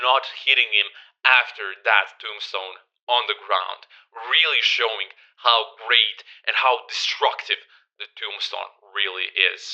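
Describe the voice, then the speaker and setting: With a Croatian accent, a man speaks very slowly in a bright, sharp tone at medium pitch, with ordinary pitch variation. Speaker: wrestling YouTuber. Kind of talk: casual video review. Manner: animated.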